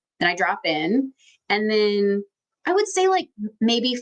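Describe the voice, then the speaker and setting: A woman with a fairly high pitch talks at a moderate pace. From Texas. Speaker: intuition coach and teacher. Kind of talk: live online workshop Q&A. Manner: casual, filler-heavy; quiet.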